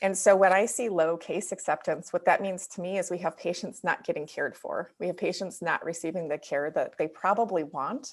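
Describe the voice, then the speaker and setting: A woman with a Wisconsin accent, speaking with hardly any pauses. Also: medium pitch for a woman, ordinary pitch variation, fairly quick pace. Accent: Wisconsin accent, sounds slightly Canadian. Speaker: dental practice consultant. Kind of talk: webinar presentation. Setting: video webinar.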